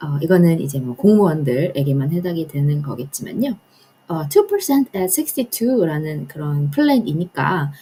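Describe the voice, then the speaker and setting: The woman's voice is somewhat breathy and fairly low in pitch. It swings very widely up and down. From Korea, raised partly in US (1.5 generation). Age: 30s. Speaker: personal finance vlogger, government employee. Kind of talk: personal finance talk to camera. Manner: casual, with fillers and hesitations.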